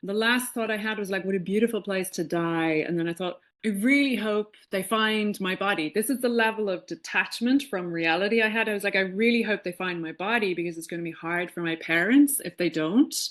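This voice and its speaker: A woman with an Irish accent at a medium pitch, ordinary pitch variation, a fairly quick pace with hardly any pauses and a quiet background. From Ireland, Dublin. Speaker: spiritual teacher. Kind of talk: podcast interview. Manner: animated.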